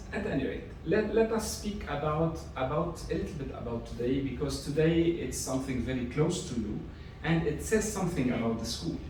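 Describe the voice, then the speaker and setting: With a fairly high pitch and very wide pitch swings, a man speaks at a fairly quick pace amid noticeable background noise and audible room echo. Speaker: Jesuit priest and school rector. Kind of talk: public lecture. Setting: seminar with audience. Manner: hesitant, with fillers.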